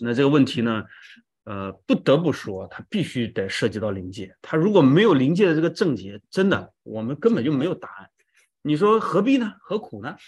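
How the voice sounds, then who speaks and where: A fairly high-pitched man at a moderate pace, with very wide pitch swings and big changes in loudness, against a quiet background. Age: 40s. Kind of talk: testimony.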